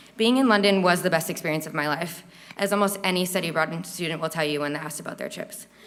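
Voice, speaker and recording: A woman's fairly low voice at a very fast pace, ordinary pitch variation, noticeable background noise. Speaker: university student. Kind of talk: speech. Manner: stuttering.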